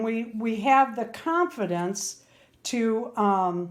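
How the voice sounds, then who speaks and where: On a very clean recording with a silent background, a woman speaks at a very slow pace. Her fairly high voice has lively intonation. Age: 60s. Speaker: doll crafter and video host. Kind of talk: craft tutorial. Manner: casual, chatty.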